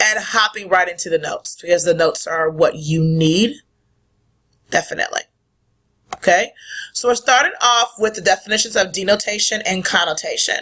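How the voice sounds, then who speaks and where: Loud and bright, with a sharp tone, a woman speaks at a moderate pace and medium pitch with ordinary pitch variation and long, frequent pauses. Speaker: middle school teacher. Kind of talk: recorded lesson.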